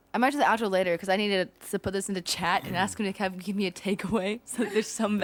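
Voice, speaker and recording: Barely pausing, a woman races along at a very fast pace in a medium pitch with fairly even intonation. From Georgia. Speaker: podcast host.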